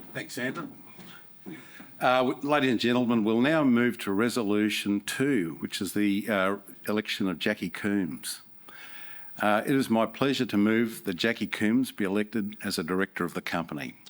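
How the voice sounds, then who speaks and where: The speaker has a New Zealand accent and a moderate pace with ordinary pitch variation. The recording is very clean, with a silent background. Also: man. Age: 60s. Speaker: company chairman. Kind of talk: shareholders' meeting chairing. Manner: halting.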